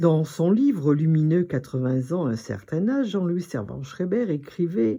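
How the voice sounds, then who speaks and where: Her voice sits very deep and low in pitch. The woman's intonation is lively. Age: 80s+. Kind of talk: personal talk to camera.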